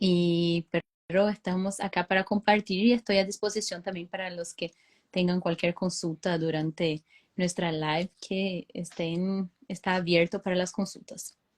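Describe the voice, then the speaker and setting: Heard with a dry, close sound and no echo, a woman speaks at medium pitch in a monotone, flat intonation. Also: fairly slow pace. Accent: Brazilian. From Brazil. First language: Portuguese (speaking Spanish). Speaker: veterinarian and dairy consultant. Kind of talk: webinar talk. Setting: online live stream. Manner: hesitant with frequent fillers.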